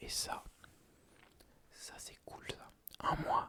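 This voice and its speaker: A man whispers in a relaxed tone. Noticeable background noise sits behind him. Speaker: ASMR creator. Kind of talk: casual talk to camera, ASMR life chat. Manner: soft-spoken, relaxed.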